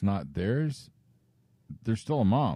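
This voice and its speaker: A man's fairly low-pitched voice with a dark, mellow tone and lively intonation, on a very clean recording against a silent background. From Canada, Chatham, Ontario. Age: 40s. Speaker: podcast co-host. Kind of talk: casual chat.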